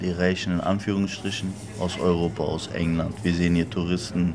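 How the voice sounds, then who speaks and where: A man's very deep, low voice at a fairly slow pace, with noticeable background noise. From Berlin. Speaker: interpreter for the shop owner. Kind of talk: interview.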